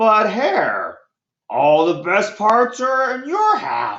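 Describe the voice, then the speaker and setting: This is a put-on character voice pitched fairly high. It moves at a very slow pace. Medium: read story. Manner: slow, drowsy.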